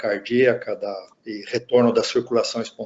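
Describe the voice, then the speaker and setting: A man is talking here. His pace is fairly slow. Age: 60s. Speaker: intensive care physician, lecturer. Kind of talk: lecture. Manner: halting, many repetitions and fillers.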